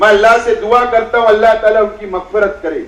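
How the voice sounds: In a room with audible echo, a man with a high voice speaks at a fairly quick pace with ordinary pitch variation.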